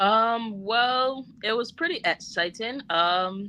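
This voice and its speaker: A woman's bright, sharp voice with a Bajan accent, on a very clean recording with a silent background. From Barbados. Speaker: chef and caterer. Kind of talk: interview.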